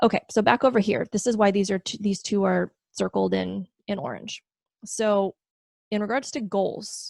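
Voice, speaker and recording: A woman speaks at a moderate pace. The recording is very clean with a silent background, and the sound is dry and close with no echo. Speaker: video essayist explaining philosophy concepts. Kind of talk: casual solo explainer talk. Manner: animated.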